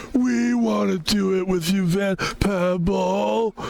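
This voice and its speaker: Putting on a character voice, a man speaks very slowly at a high pitch. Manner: dopey, eager.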